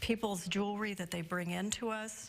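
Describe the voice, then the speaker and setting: A woman at a moderate pace with ordinary pitch variation, music in the background. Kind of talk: interview answer. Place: shop. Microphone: lapel.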